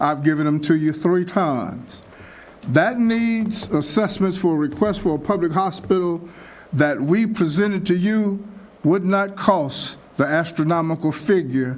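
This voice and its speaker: At a fairly slow pace and with ordinary pitch variation, the voice comes through with audible room echo. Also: man, high pitch for a man. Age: 70s. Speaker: pastor and public commenter. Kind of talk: public comment at city meeting. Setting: city commission meeting.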